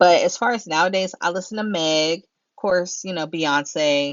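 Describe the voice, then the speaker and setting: Lively intonation runs through this woman's speech, delivered with an American accent. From Pennsylvania, US. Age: 30s. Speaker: YouTuber. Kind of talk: Q&A vlog, casual chat. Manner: casual, chatty.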